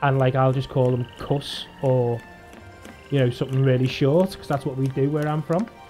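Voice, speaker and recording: Music plays in the background as someone with a strong English accent talks at a moderate pace. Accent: strong regional English. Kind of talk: casual, clipped.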